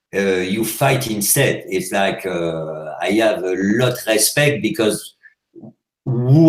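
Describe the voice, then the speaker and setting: A man with a French accent talks at a very slow pace with lively intonation. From France. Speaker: hash maker. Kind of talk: interview. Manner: loud; animated.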